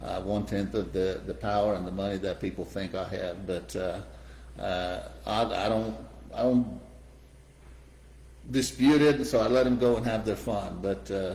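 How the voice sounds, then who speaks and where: A man talks at a moderate pace in a fairly low pitch, swinging very widely up and down. Long pauses come often, and the room echo is audible. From Iran. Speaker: real estate developer. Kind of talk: interview. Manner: halting, many fillers.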